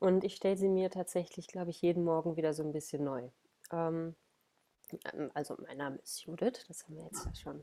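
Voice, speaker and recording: A woman speaks at a moderate pace in a fairly low, dark and mellow voice. Her pitch variation is ordinary. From Ruhr area, Germany. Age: 30s. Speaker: body awareness coach. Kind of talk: podcast interview.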